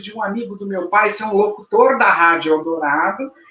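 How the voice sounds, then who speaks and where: Lively intonation comes at a fairly slow pace over noticeable background noise. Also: woman. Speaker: journalist and educator. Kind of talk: interview conversation.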